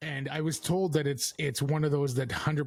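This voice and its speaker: A somewhat breathy man's voice at a moderate pace. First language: French. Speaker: podcast host. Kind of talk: casual chat. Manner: halting; stilted when reading aloud.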